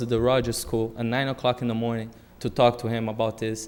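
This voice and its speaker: With a Brazilian accent, a man talks at a fairly quick pace in a monotone, flat intonation. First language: Portuguese. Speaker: public commenter at school committee meeting. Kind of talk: public testimony. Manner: hesitant, many fillers.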